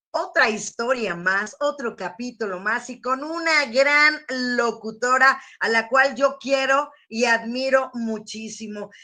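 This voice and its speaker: Raised and projected, a woman's high-pitched voice carries a bright, sharp tone at a very slow pace. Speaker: radio announcer. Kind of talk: interview host.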